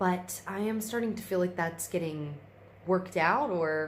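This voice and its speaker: Audible room echo fills the space. A woman is the one talking. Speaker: vlogger. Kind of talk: casual vlog. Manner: rambling with fillers.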